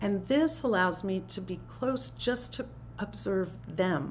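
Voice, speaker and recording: A woman is speaking. Room echo is audible. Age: 70s. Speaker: spiritual teacher. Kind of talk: talk to a spiritual community. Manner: conversational.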